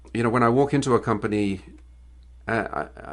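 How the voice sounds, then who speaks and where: Vocal fry from a man at a fairly low pitch, ordinary pitch variation, over a quiet background. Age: 60s. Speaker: business owner and author. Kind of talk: interview. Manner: halting, many repeated words.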